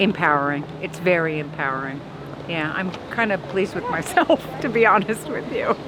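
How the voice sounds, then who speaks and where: Delivered at a moderate pace with lively intonation, the speech sits over noticeable background noise. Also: woman, fairly low pitch for a woman. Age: 60s. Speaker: passerby interviewee. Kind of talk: street interview.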